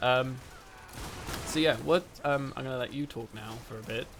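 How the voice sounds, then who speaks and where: With music in the background, a man talks at a moderate pace and medium pitch. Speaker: gaming youtuber. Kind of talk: let's play commentary. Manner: animated.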